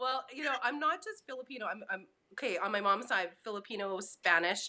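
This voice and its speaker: Fairly high-pitched with lively intonation, a woman with a normal speaking voice talks in a Canadian accent. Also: fairly quick pace. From rural Saskatchewan, Canada. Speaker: singer-songwriter. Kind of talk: casual interview. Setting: live stream.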